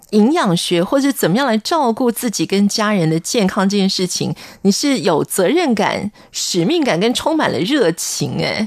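A woman's pitch swings very widely while her loudness stays very even. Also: medium pitch for a woman, moderate pace. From Taiwan, military dependents' village. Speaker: radio host. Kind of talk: radio interview.

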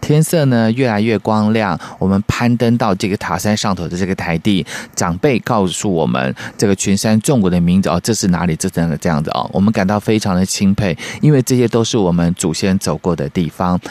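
A man with a normal speaking voice talks at a fairly low pitch and a fairly quick pace, with ordinary pitch variation, in a dry, close sound with no echo. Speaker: radio co-host. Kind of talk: radio show chat.

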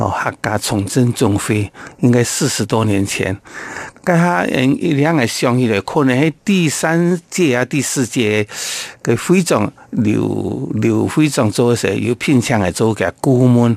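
Very slow, very evenly loud speech from a man of medium pitch with lively intonation, dry and close with no echo. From Taiwan, Taoyuan Yangmei. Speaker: Hakka community leader and businessman. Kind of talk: interview.

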